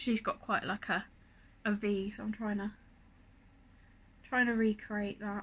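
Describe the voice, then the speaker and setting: This woman is soft-spoken, with fairly high pitch and a monotone, flat delivery. She talks at a fairly slow pace, leaving long, frequent pauses. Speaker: beauty vlogger. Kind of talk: makeup tutorial.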